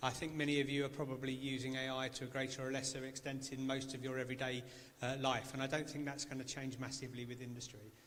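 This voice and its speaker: A man speaks very fast in a monotone, flat delivery, with audible room echo. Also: medium pitch for a man. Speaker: engineering panelist. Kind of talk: panel discussion. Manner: loud.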